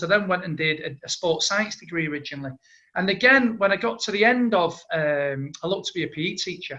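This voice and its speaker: A man with a strong Manchester accent talks very fast in a high pitch, with a bright, sharp tone and lively intonation. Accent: thick Manchester. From Manchester, northern England. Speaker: entrepreneur. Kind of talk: interview.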